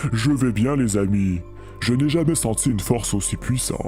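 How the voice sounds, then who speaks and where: Over clear music in the background, a man performs a put-on character voice at medium pitch and a moderate pace. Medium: audio drama.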